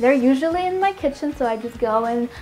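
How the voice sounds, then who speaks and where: Over music in the background, a woman with a Russian accent speaks fairly quickly in a high pitch with lively intonation. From Moscow, Russia. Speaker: healthy food vlogger. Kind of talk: casual Q&A vlog. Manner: friendly, chatty.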